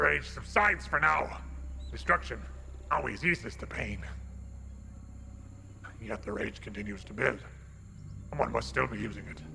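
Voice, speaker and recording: Against clear background noise, a man uses a gravelly put-on character voice at a moderate pace, with long, frequent pauses. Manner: menacing.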